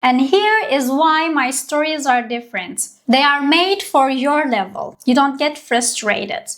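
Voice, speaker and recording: Speaking with hardly any pauses at a fairly slow pace, a woman with a high pitch and lively intonation talks in a Turkish accent. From Turkey. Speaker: language teacher. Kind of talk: tutorial.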